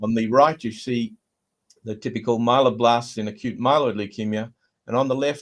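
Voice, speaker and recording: Against a quiet background, a man at a medium pitch speaks with an Australian accent. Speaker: hematologist. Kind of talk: lecture. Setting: video call. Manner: hesitant, frequent uh fillers.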